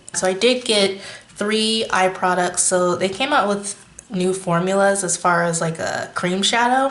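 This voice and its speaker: A woman's medium-pitched voice with ordinary pitch variation at a fairly slow pace, amid noticeable background noise and audible room echo. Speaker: beauty youtuber. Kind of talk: makeup review tutorial.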